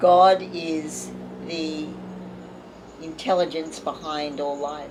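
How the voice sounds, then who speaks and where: A woman's very deep, low voice at a very slow pace, monotone and flat, with audible room echo and noticeable background noise. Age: 70s. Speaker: artist and spiritual teacher. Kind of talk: interview conversation.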